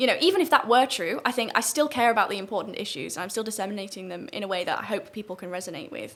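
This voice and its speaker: The speech is very fast, with hardly any pauses, lively intonation and big swings in loudness, over noticeable background noise. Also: woman, medium pitch for a woman. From northern England, St Helens area. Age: 20s. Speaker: student debater and political commentator. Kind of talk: podcast interview.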